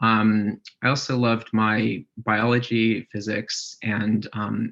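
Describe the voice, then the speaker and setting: With an American accent, a man speaks at a fairly low pitch with fairly even intonation and vocal fry. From US South, Charlottesville, Virginia. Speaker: research scientist. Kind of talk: career talk presentation. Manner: hesitant, many fillers.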